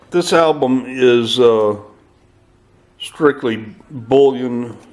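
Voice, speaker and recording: Speaking at a very slow pace, a man with a medium-pitched voice keeps his intonation fairly even over noticeable background noise. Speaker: silver stacker. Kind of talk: casual talk to camera. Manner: hesitant, many fillers.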